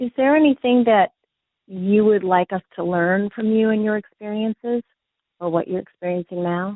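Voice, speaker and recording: Here is a woman with an unremarkable speaking voice at a medium pitch. Her pace is moderate and her pitch variation ordinary. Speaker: podcast interviewer. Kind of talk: interview question.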